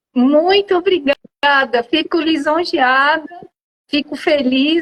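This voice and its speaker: A woman speaks very slowly in a high pitch with ordinary pitch variation, the sound dry and close with no echo. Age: 60s. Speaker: cycling school founder. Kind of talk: interview. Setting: Instagram live.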